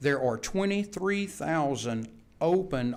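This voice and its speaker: In a plain, everyday voice, a man speaks at a fairly slow pace with lively intonation. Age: 60s. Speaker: vocational instructor. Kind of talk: board meeting presentation. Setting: public board meeting.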